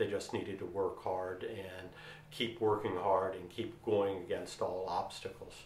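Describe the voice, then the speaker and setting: A man with a Delaware accent at a moderate pace, with audible room echo. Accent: local Sussex County Delaware. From Delaware, Sussex County (Delmarva Peninsula). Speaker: author and lawyer. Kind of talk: direct-to-camera storytelling.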